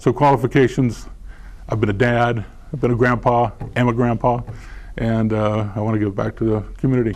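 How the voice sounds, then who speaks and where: With an American accent, a man talks at a fairly quick pace in a monotone, flat intonation, broken by long, frequent pauses. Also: medium pitch for a man. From California, San Diego. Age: 60s. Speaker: school board candidate. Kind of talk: candidate forum answer. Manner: halting, many fillers and repeats.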